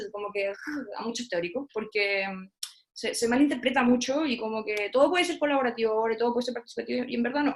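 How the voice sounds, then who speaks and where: A woman's fairly high voice at a fairly quick pace, with ordinary pitch variation. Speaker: theatre researcher and lecturer. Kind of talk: online talk. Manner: fast.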